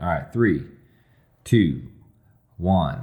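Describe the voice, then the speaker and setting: The voice carries vocal fry, with ordinary pitch variation. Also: man. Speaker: podcast co-host. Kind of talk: casual chat.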